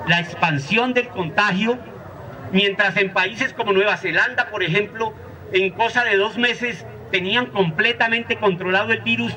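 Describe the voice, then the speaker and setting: A man with a high, raised and projected voice speaks fairly slowly, with ordinary pitch variation and very even loudness, over noticeable background noise. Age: 60s. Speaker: teacher and social activist. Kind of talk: lecture. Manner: halting, with frequent repetitions.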